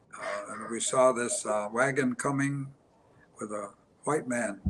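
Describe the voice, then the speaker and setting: A man with an American accent speaks very slowly at a medium pitch, his intonation fairly even, over noticeable background noise. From Onondaga Nation, central New York. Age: 80s+. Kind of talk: storytelling on panel.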